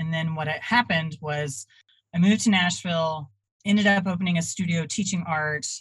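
A woman's somewhat breathy, very deep, low voice at a moderate pace, with ordinary pitch variation. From Texas (Dallas-Fort Worth). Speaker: artist and traveling art teacher. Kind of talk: interview.

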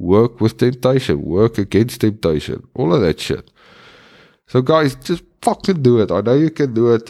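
The recording is very clean, with a silent background, as a man talks at a moderate pace and very even loudness. His medium-pitched voice has a dark, mellow tone. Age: 30s. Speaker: podcast host, recovering addict. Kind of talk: casual solo monologue.

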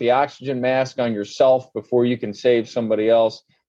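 A man's normal speaking voice at medium pitch and a moderate pace. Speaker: home builder company owner. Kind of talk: interview podcast.

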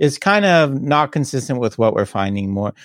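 Recorded very clean against a silent background, with a dry, close sound and no echo, a man talks at a moderate pace. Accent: Canadian. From Canada, Toronto area. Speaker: skill acquisition researcher. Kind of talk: interview. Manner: hesitant with repeated words.

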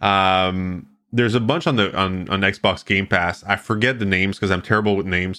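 A fairly low-pitched man with a French Canadian accent and a bright, sharp tone, at a fairly quick pace with fairly even intonation and very even loudness, on a very clean recording with a silent background. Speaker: radio host and streaming company founder. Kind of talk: casual interview.

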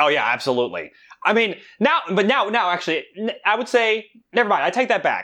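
With an American accent, a high-pitched man speaks in a raised, projected voice, his tone animated and his intonation lively. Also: fairly quick pace. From New York / New Jersey region, Korean heritage. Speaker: campus ministry staff. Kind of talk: casual chat. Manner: animated, laughing often.

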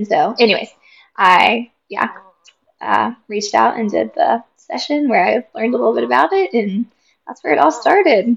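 At a moderate pace, a woman with an American accent speaks with long, frequent pauses. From West Virginia. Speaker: nurse, client. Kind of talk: personal testimony. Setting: baby cooing nearby.

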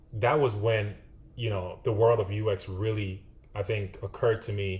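Somewhat breathy, the speech carries ordinary pitch variation. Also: man. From Ghana. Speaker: UX designer. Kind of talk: interview.

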